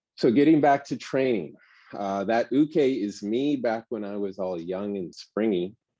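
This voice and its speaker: The pitch swings very widely. The pace is fairly slow. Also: man. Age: 60s. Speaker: martial arts instructor. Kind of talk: lecture. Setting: indoors.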